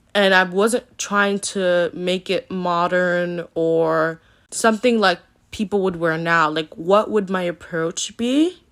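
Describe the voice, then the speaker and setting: A woman's normal speaking voice at medium pitch, with ordinary pitch variation, on a very clean recording over a silent background. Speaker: art youtuber. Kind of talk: casual voiceover commentary.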